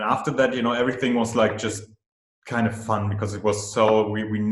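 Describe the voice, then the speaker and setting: A man's fairly low-pitched voice with a German accent. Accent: German-speaking accent in English. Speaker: film director. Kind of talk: interview. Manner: halting, many fillers and repeats.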